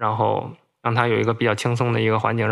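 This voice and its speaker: A man with a Beijing accent talks at a very fast pace. Vocal fry runs through his voice. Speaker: bookseller. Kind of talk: casual chat.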